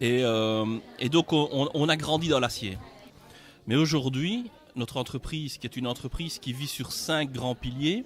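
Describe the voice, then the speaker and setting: In a Belgian accent, a man speaks at a fairly slow pace with long, frequent pauses, his fairly high voice showing ordinary pitch variation. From Belgium. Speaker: company regional director, engineer. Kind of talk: interview at sponsorship signing event.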